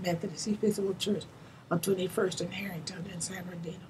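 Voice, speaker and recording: A woman with an American accent speaks at a very fast pace in a somewhat breathy voice with a medium pitch. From Santa Monica, Southern California. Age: 90s. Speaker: retired teacher and community elder. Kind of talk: oral history interview. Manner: halting, repetitive.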